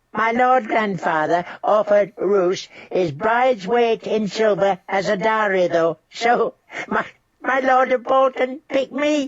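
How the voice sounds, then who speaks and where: Using a squeaky, put-on character voice, a woman talks at a fairly slow pace with lively intonation and very even loudness. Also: fairly high pitch for a woman. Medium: read story. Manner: giggly, chattering.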